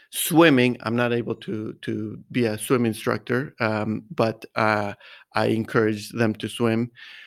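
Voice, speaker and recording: Over a very clean recording with a silent background, a man speaks at a fairly slow pace and a medium pitch. He has an unremarkable speaking voice with fairly even intonation. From US, Mexican-American. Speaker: golf coach. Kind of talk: interview.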